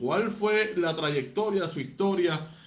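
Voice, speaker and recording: Room echo is audible here. The speaker goes at a fairly slow pace. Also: man. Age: 30s. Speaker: radio sports host. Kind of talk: interview. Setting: studio.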